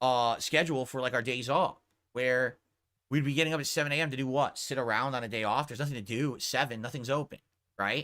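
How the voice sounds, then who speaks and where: A man's loud, very fast speech in a bright, sharp tone, medium pitch and fairly even intonation, on a very clean recording with a silent background. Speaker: streamer. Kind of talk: casual chat. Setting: home streaming room.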